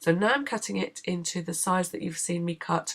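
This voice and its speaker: A woman with a British accent, fairly low in pitch, with vocal fry, lively intonation and a moderate pace. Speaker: craft tutorial maker. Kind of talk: tutorial.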